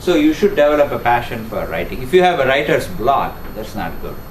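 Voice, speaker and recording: Room echo and noticeable background noise surround a man who talks fairly quickly with lively intonation. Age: 60s. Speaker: professor. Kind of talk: lecture. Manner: halting.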